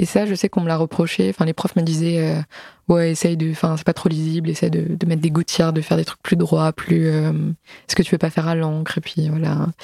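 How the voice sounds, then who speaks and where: Using an ordinary speaking voice, a woman goes at a fairly quick pace with a fairly low pitch and fairly even intonation. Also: dry, close sound with no echo. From Alsace, France. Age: 20s. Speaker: comic book author and illustrator. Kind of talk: casual interview.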